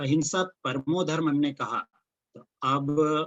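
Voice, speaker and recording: A man talks with a Marathi accent. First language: Marathi (speaking Hindi). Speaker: religious lecturer. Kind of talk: lecture. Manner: halting, frequent fillers.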